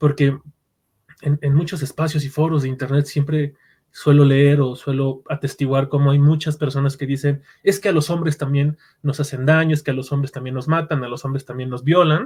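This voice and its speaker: This man speaks in a Mexican accent at a fairly high pitch. His voice is somewhat breathy, with monotone, flat intonation. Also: moderate pace. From Mexico. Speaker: podcast host, psychologist and narrative therapist. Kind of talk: podcast interview.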